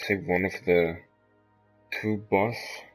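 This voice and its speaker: Music plays behind a man speaking at a very slow pace. His voice is fairly low, with fairly even intonation. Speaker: gamer. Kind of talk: game walkthrough commentary. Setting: low-quality home microphone. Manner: casual.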